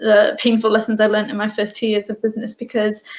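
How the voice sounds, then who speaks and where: Speaking at a very fast pace, a woman with a British accent has a fairly high pitch. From UK, Bangladeshi family. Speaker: business owner. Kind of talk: interview.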